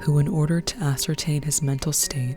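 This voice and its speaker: Music plays in the background. The pitch variation is ordinary. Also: woman. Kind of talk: true crime story narration. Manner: soft-spoken.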